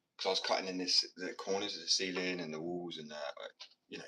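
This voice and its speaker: A man's very fast speech with a British accent. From Britain. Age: 20s. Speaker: live streamer and painter. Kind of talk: casual live stream chat. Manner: casual.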